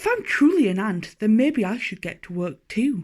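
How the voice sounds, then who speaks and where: A woman performs a put-on character voice. Her pitch sits fairly high. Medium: read story. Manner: innocent, wondering.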